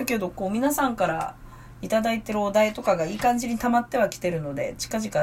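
Vocal fry runs through a woman's voice at medium pitch. She talks at a fairly quick pace with lively intonation. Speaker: stage actor and podcast host. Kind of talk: casual solo talk.

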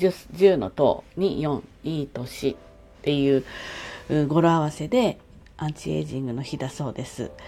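A woman with a very deep, low pitch and a dark, mellow tone speaks at a fairly slow pace with lively intonation. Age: 60s. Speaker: podcaster. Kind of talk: casual solo monologue. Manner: chatty, friendly.

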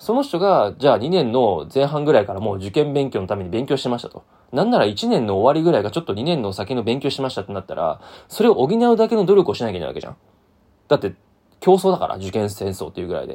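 This voice has a dark, mellow tone and moves through very wide pitch swings at a very fast pace. Its loudness swings widely too. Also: man, medium pitch for a man. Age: 30s. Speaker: podcast host. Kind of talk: solo monologue. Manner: casual, many fillers.

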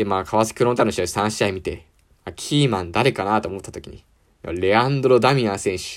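With big swings in loudness, a man speaks at a fairly quick pace and a fairly low pitch, with ordinary pitch variation. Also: very clean recording, silent background. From Japan, Ibaraki. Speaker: university student podcaster. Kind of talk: casual solo sports talk. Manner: animated.

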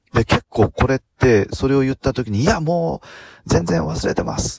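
This man has a normal speaking voice with a medium pitch, lively intonation and a moderate pace. The sound is dry and close, with no echo. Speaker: podcaster, former motorcycle driving instructor. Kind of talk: solo talk. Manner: many filler words.

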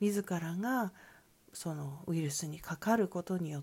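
The voice is dark and mellow, somewhat breathy, with a calm tone. Its intonation is lively. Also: woman. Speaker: solo podcaster. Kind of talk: solo monologue. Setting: soundproofed session room. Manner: calm, unhurried.

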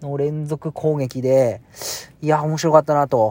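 This man talks at a fairly slow pace and a fairly high pitch. The sound is dry and close with no echo, on a very clean recording with a silent background. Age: 40s. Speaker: podcaster. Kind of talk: casual monologue. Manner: hesitant with many fillers.

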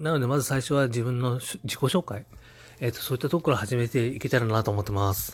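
Somewhat breathy, a man talks at a very fast pace. His pitch is medium, with ordinary pitch variation. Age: 30s. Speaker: podcast host. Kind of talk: casual monologue. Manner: halting, many fillers.

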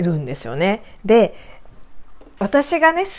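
The woman speaks at a moderate pace. Her pitch ranges very widely. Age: 40s. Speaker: doll maker and podcaster. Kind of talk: casual solo talk. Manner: halting, many fillers.

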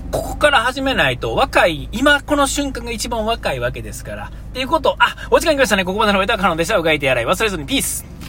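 Over noticeable background noise, a man rushes at a very fast pace with hardly any pauses, his loudness swinging widely. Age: 40s. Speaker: podcast host. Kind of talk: solo podcast monologue. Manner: halting, many fillers.

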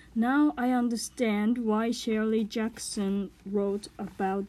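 With a Japanese accent, a woman speaks at a very slow pace in a fairly high pitch. Her tone is dark and mellow, and her intonation fairly even. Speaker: podcaster. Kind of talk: reading aloud; casual chat. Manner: halting.

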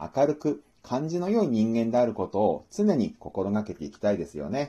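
Against a quiet background, a man with a dark, mellow tone speaks at a medium pitch and moderate pace, his pitch swinging very widely. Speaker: book review podcaster. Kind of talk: solo book talk monologue. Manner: formal.

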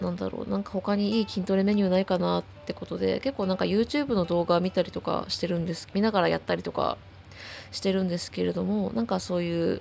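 A woman at a very fast pace, with music in the background. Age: 20s. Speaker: solo podcaster. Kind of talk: casual monologue. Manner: halting, many fillers.

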